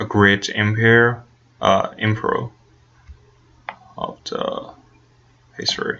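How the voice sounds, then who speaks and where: Amid noticeable background noise, a man with a Chinese accent speaks at a very slow pace. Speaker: student research participant. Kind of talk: think-aloud interview. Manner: halting, many fillers.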